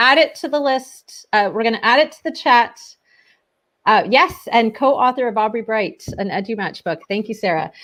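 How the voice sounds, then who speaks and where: In a Canadian accent, a woman's voice moves through very wide pitch swings. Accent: Canadian, noticeable. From Ontario, Canada. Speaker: teacher librarian and show co-host. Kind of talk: casual online show chat.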